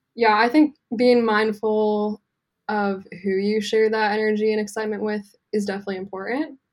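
Her pitch fairly high, a woman with an American accent speaks at a moderate pace with fairly even intonation. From US West Coast, Santa Cruz, California. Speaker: tattoo artist. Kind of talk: casual chat.

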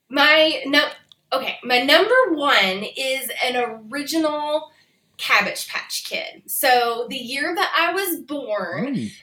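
A woman's raised, projected voice with an American accent, high-pitched and lively in intonation, at a very slow pace. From US Midwest, near the South. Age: 40s. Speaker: reseller, van traveler. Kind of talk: casual chat.

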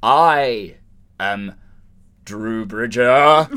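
Putting on a character voice, a man uses a dramatic tone. His pitch is medium, with ordinary pitch variation. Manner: with gravitas, grave and dramatic.

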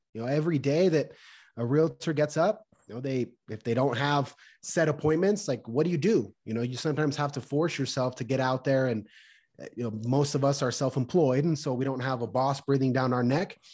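Against a quiet background, a man speaks in an ordinary speaking voice at a medium pitch. His pace is fairly quick and his pitch varies in an ordinary way. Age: 30s. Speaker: realtor and amateur boxer. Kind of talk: casual interview chat.

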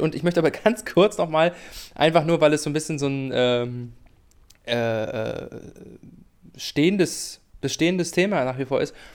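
Long, frequent pauses interrupt speech that otherwise runs at a moderate pace. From Mecklenburg-Vorpommern, Greifswald. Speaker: football podcast co-host, former radio presenter. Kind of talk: casual chat. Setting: remote recording, separate rooms.

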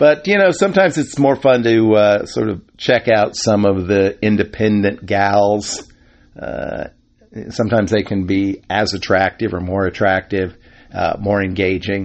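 With ordinary pitch variation and a fairly low pitch, a man delivers a plain, everyday voice at a moderate pace. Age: 50s. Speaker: podcast host. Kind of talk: casual monologue.

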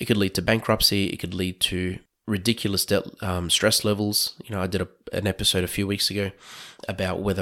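A man with an Australian accent and a very deep, low pitch, at a fairly quick pace, his intonation monotone and flat, on a very clean recording with a silent background. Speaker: podcast host and financial planner. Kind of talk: monologue podcast talk. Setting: recorded at night.

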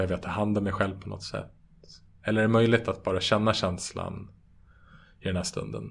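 A man speaks at a fairly low pitch. Vocal fry runs through his voice. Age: 30s. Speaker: meditation teacher and app co-founder. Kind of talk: interview. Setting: online call.

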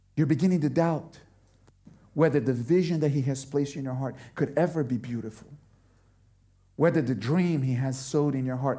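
Long, frequent pauses break up this man's speech, which moves at a moderate pace with ordinary pitch variation. His fairly high voice is somewhat breathy with a dark, mellow tone, and room echo is audible. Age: 40s. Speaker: pastor. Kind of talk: sermon.

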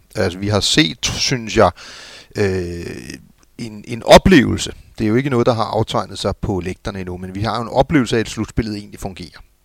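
Very clean, with a silent background, the recording has a dry, close sound with no echo. A man talks at a fairly quick pace, his fairly low pitch showing ordinary variation. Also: big swings in loudness. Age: middle-aged. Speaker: former football club executive. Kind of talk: casual chat. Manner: halting.

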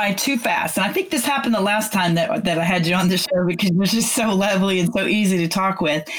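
A woman's medium-pitched voice with an American accent, very fast with hardly any pauses, ordinary pitch variation and very even loudness, over noticeable background noise. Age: 60s. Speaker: music radio host and singer. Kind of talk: casual radio interview.

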